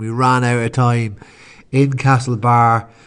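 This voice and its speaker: A man speaks with an Irish accent in a monotone, flat intonation. The background is quiet. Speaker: podcast host and sports fan. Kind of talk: sports commentary, recapping the match.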